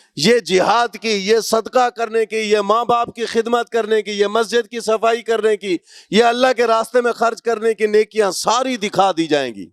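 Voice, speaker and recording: High male pitch with fairly even intonation, in a dry, close sound with no echo. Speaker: Islamic preacher, qari. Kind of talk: Islamic sermon (bayan) delivered to an audience.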